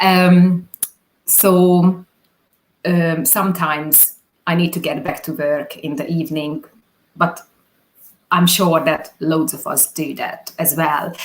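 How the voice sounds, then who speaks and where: A woman talks in a fairly low pitch. Her pace is very slow, with long, frequent pauses. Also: fairly even intonation. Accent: Hungarian. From Hungary. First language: Hungarian. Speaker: business owner, video producer. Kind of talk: interview. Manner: halting.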